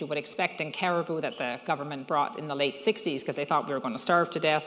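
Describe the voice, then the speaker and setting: Speaking at a very fast pace with a Newfoundland accent, this voice comes through over noticeable background noise. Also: woman. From Newfoundland, Fogo Island. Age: 60s. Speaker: social entrepreneur. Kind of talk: speech to an audience.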